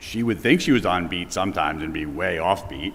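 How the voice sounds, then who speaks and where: The speech has lively intonation, with audible room echo and noticeable background noise. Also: man. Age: 50s. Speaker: eulogy speaker, nephew. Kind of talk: eulogy. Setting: church memorial service. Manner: loud.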